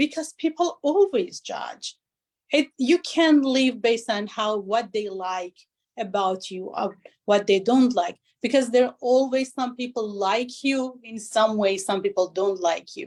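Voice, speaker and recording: In a non-native accent, a woman talks at a fairly slow pace with a fairly high pitch and ordinary pitch variation. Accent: foreign. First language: not English. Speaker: business consultant. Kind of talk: interview.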